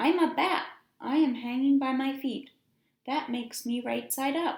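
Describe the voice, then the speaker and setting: In a squeaky, put-on character voice, a woman speaks high-pitched at a moderate pace. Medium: read story.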